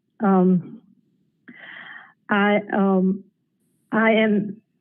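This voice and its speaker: A woman with an Appalachian accent speaks at a medium pitch in a monotone, flat intonation. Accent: Southern US (Appalachian). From US South, Asheville, North Carolina. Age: 70s. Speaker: caller. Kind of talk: public comment.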